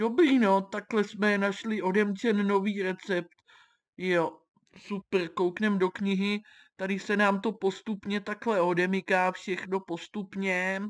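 On a very clean recording with a silent background, a woman speaks very slowly in a flat, monotone way. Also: medium pitch for a woman. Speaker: gaming youtuber. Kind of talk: let's play commentary. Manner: stammering.

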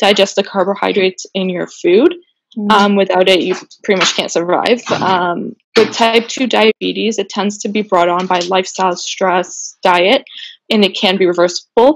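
A woman with a Canadian accent, an unremarkable speaking voice, fairly even intonation and a moderate pace. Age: 20s. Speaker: diabetes advocate, small business owner. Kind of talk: casual interview chat.

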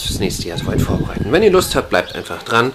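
A man speaks over light background noise. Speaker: hobby gardener vlogger. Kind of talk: casual vlog chat. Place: garden. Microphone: phone near.

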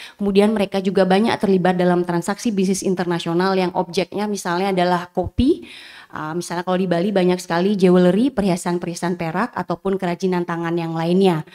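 Against a quiet background, a woman with a dark, mellow tone speaks at a very fast pace, in a monotone, flat delivery with hardly any pauses. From Indonesia. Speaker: law lecturer and researcher; law lecturer. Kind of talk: academic presentation. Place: hall. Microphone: podium.

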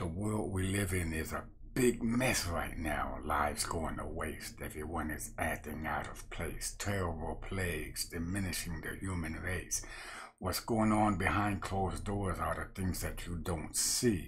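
The pace is fairly slow and the voice somewhat breathy. Pitch moves in an ordinary way. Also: man, very deep, low pitch for a man. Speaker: street preacher. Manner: animated, fiery, emphatic, rhythmic. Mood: earnest, warning. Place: home room. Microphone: webcam.

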